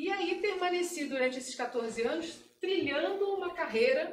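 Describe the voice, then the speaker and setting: Amid audible room echo, a woman in a Carioca accent talks at a moderate pace with lively intonation. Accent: carioca accent with hissing s sounds. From Brazil, Rio de Janeiro. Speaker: security analyst. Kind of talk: talk at meetup. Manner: casual.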